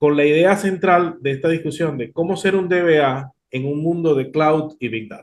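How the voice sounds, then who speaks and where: Here a man with a normal speaking voice talks at a fairly high pitch, with ordinary pitch variation. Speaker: podcast host. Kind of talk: interview.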